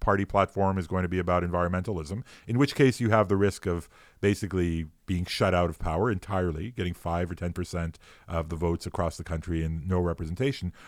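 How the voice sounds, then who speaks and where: Over a very clean recording with a silent background, a man speaks in a Montreal accent. His pitch is very deep and low, and his pace fairly quick. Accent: Canadian English (Montreal). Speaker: philosopher, law professor. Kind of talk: casual chat. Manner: hesitant, many fillers.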